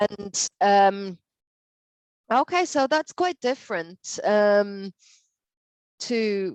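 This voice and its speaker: In an Irish accent, a woman talks at a very slow pace and medium pitch with lively intonation, recorded in a dry, close sound with no echo. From Ireland. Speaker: English teacher. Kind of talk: online language lesson conversation.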